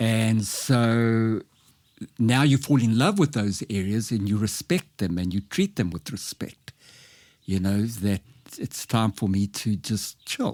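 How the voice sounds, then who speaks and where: A man with a medium-pitched voice speaks at a fairly slow pace with lively intonation, on a very clean recording with a silent background. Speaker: life coach. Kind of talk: podcast interview. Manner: speech disfluency, occasional hesitation.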